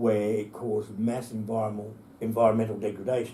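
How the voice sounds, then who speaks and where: Over noticeable background noise and audible room echo, a man speaks in a monotone, flat way at a medium pitch. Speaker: environmental campaigner. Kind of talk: interview.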